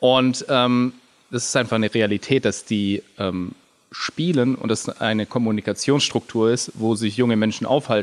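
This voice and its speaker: A man's medium-pitched, fairly even delivery in a normal speaking voice. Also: moderate pace. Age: 30s. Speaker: video game company founder and theologian. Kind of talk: casual interview.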